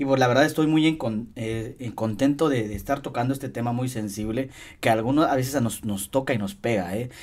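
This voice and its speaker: A plain, everyday voice from a man, medium in pitch with ordinary pitch variation, at a fairly quick pace. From Mexico, Hidalgo (Tasquillo). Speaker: podcast host. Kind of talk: casual interview chat.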